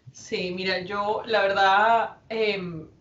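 The intonation is fairly even. The speaker is a woman. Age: 40s. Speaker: businesswoman and foundation president. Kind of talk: interview. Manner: hesitant, many fillers.

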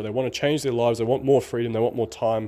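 A man's dark, mellow voice with an upbeat tone. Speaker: online marketing podcaster. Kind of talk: solo podcast monologue. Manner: casual, upbeat.

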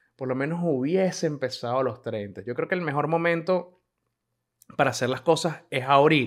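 A man talks in an unremarkable speaking voice. His pace is moderate, with ordinary pitch variation. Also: fairly high pitch for a man. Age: 30s. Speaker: podcaster. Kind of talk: casual monologue.

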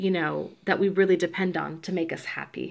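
Speaking at a moderate pace, a woman uses a fairly low pitch with vocal fry and ordinary pitch variation. The recording is very clean, with a silent background. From US South, Georgia (born in Puerto Rico). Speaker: podcast co-host. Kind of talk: casual chat. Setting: at home.

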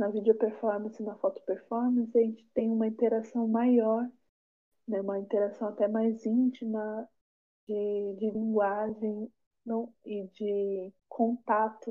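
This woman talks at a fairly slow pace. Her fairly high voice stays monotone and flat. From São Paulo area, Brazil. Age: 20s. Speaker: filmmaker and theatre teacher. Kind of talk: interview.

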